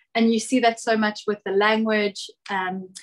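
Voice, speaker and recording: A woman speaks at a moderate pace with a fairly high pitch. Her intonation is flat and monotone. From South Africa. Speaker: travel content creator. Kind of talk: casual podcast interview.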